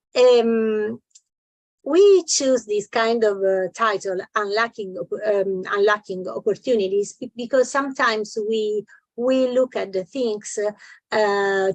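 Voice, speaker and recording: A woman with an Italian accent, very slow pace and ordinary pitch variation. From Italy. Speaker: business association delegate. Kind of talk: conference presentation. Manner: halting, many fillers.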